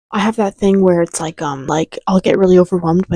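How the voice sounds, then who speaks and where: Soft-spoken and very fast, this woman talks in a dry, close sound with no echo. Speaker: lifestyle vlogger. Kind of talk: casual vlog monologue. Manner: hesitant with fillers.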